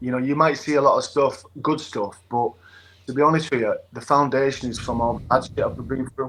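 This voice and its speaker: A man with a northern English accent at a fairly quick pace. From England. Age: 40s. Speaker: former rugby league player. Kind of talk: interview.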